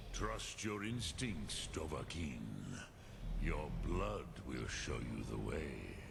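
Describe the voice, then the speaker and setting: Loud background noise surrounds a put-on character voice that speaks at a very slow pace. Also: man. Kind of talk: solemn epic fantasy. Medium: video game. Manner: slow, measured, mixes in dragon words.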